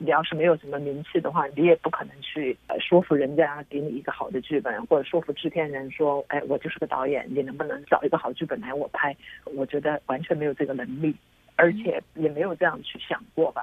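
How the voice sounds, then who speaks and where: Her pitch sits very deep and low for a woman. She talks fairly quickly. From China. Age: middle-aged. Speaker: filmmaker. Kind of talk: interview.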